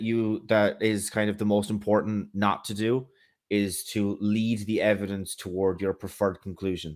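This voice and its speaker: A man with an Irish accent, fairly low pitch and a moderate pace. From Ireland. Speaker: atheist social commentator. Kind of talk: debate discussion. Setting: live stream call. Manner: halting, many fillers and repeats.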